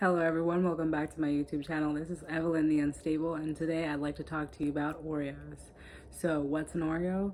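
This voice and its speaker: A woman's very deep, low voice, very fast and monotone, with flat intonation. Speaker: YouTuber. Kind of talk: casual monologue to camera. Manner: enunciates clearly.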